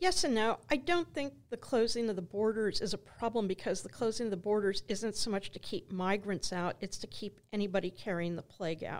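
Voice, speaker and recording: A woman with a plain, everyday voice at medium pitch, lively intonation, a fairly quick pace and hardly any pauses. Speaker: archaeology professor. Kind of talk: interview conversation.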